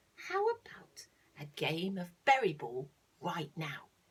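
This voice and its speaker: Using a put-on character voice, the woman speaks at a fairly slow pace in a fairly low pitch. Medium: read story.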